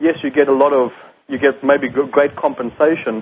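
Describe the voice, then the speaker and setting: A man with a South African accent speaks at a moderate pace and fairly high pitch with fairly even intonation. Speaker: company CEO. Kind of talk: radio interview.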